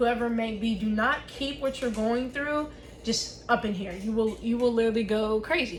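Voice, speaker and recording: Noticeable background noise and audible room echo accompany a voice moving at a fairly quick pace. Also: woman. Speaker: vlogger. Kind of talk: casual vlog talk while crafting. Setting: home office desk. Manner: loud.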